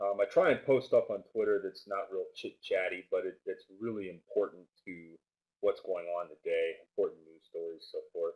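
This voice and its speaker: Big swings in loudness from a man speaking at a moderate pace. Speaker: trading educator. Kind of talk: webinar presentation. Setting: live webinar. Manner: casual with many fillers. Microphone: mic placed far back, may be too soft.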